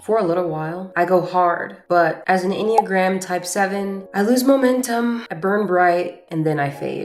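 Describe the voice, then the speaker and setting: A woman talking with hardly any pauses, music in the background. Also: medium pitch for a woman, ordinary pitch variation, moderate pace. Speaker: self-growth content creator. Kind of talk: personal video journal, self-growth talk to camera.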